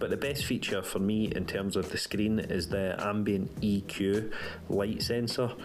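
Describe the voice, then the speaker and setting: Over noticeable background noise and audible room echo, a man with a Scottish accent speaks fairly slowly at a fairly low pitch, keeping very even loudness and fairly even intonation. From Scotland. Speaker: tech reviewer. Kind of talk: product review.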